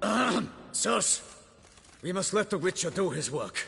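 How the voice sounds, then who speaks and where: A man puts on a raspy, high-pitched character voice. He speaks at a moderate pace with lively intonation. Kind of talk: archaic courtly speech. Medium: video game. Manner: formal, earnest.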